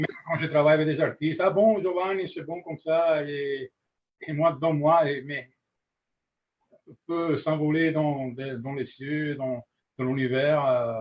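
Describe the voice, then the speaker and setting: A man with an Italian accent at a fairly high pitch, fairly even intonation and big swings in loudness, at a very slow pace with long, frequent pauses. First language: Italian (speaking French). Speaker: master glassblower. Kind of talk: webinar discussion. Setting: live webinar. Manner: halting, searching for words.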